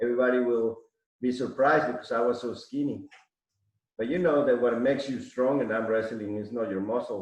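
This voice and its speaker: A man talks fairly quickly at a medium pitch, his intonation fairly even. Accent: Mexican. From Mexico City, Mexico. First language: Spanish. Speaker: arm wrestler. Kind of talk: casual chat.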